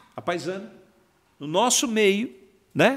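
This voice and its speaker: A man speaks at a very slow pace. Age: 60s. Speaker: bank workers' union president. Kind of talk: casual interview.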